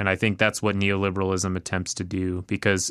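A man speaks at a fairly low pitch. The sound is dry and close with no echo, over a quiet background. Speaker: podcast co-host. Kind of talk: casual political discussion.

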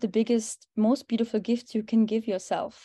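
A woman with a German accent speaks with a fairly high pitch and a dark, mellow tone. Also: quiet background. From Germany. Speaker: holistic health coach. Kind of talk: interview conversation.

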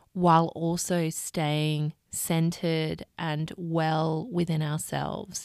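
A woman's fairly low voice in an Australian accent, warm and soothing in tone, on a very clean recording with a silent background. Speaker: podcast host, life coach. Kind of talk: solo podcast monologue. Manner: warm, soothing.

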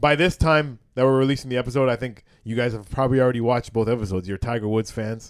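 In a very clean recording with a silent background, a man speaks very fast at medium pitch with ordinary pitch variation. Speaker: comedian. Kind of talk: casual chat. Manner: loud.

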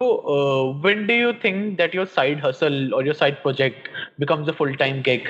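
With an Indian accent, a man with a fairly high pitch speaks with lively intonation and very even loudness. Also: moderate pace. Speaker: podcast host. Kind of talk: interview.

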